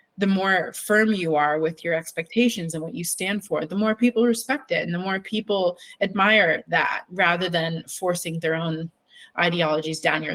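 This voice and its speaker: Soft-spoken and fairly low-pitched, a woman talks at a moderate pace with ordinary pitch variation, recorded dry and close with no echo. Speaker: artist and alopecia awareness advocate. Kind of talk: interview. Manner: halting.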